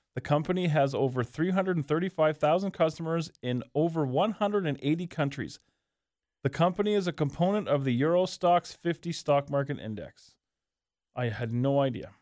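A man's fairly high voice, a plain, everyday voice, at a moderate pace with ordinary pitch variation. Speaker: pro wrestling podcast guest. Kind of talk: casual chat. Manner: profane, joking.

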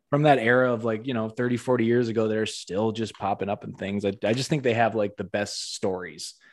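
A man's ordinary speaking voice, medium in pitch, with fairly even intonation at a fairly quick pace. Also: hardly any pauses. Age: 30s. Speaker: podcast host. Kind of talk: casual interview.

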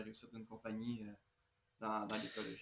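A man at medium pitch and moderate pace with a bright, sharp tone. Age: 30s. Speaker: building contractor. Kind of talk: interview.

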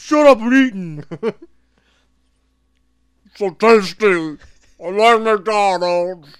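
A whiny, put-on character voice at a fairly high pitch drags along at a very slow pace with long, frequent pauses. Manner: pathetic, sad, whiny.

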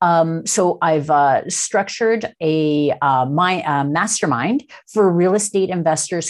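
Speaking at a fairly slow pace with hardly any pauses, a woman uses a normal speaking voice, fairly low in pitch, with ordinary pitch variation and very even loudness. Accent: Canadian. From Toronto, Canada. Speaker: occupational therapist and real estate investor. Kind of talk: interview.

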